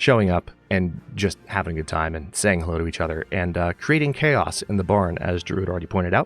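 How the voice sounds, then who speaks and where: Over music in the background, a man with a very deep, low pitch talks at a very fast pace with ordinary pitch variation. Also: hardly any pauses. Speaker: video game streamer. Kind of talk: casual chat. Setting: live stream.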